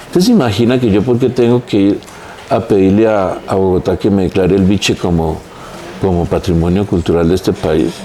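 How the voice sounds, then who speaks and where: Noticeable background noise runs under speech at a fairly quick pace with ordinary pitch variation. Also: man. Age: 60s. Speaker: architect, heritage expert. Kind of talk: podcast interview.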